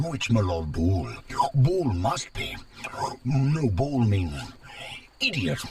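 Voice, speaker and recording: A man puts on a character voice at medium pitch, swinging very widely in pitch. He goes at a very slow pace with long, frequent pauses. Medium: video game. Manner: broken grammar, gurgling made-up words.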